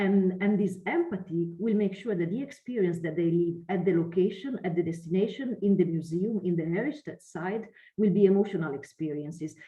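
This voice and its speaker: In an Italian accent, a woman speaks at a fairly quick pace with hardly any pauses. Her pitch is medium, with ordinary variation. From Italy. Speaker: lecturer and researcher. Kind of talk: online lecture.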